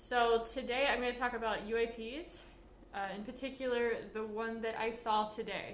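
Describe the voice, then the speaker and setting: The speech moves at a moderate pace with fairly even intonation. Audible room echo and noticeable background noise are present. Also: woman, fairly high pitch for a woman. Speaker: vlogger. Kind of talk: casual monologue vlog. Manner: halting.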